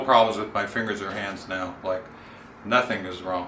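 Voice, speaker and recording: A man's fairly even intonation, with noticeable background noise and audible room echo. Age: 60s. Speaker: client and salon owner. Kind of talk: testimony.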